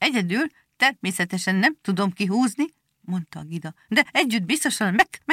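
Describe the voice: Someone reads aloud plainly with lively intonation against a quiet background.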